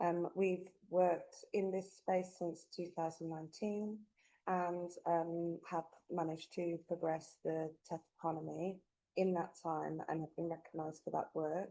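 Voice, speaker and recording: A woman with a Birmingham accent speaks fairly slowly and fairly low in pitch, her dark, mellow tone flat and monotone. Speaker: tech organisation executive. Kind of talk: webinar presentation.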